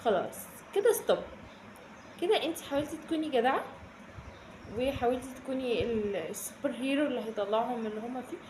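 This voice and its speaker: In a room with audible echo and noticeable background noise, a woman with a high pitch speaks at a moderate pace with lively intonation and long, frequent pauses. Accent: Cairo. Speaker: self-development youtuber. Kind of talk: casual advice vlog. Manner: animated, conversational with frequent fillers.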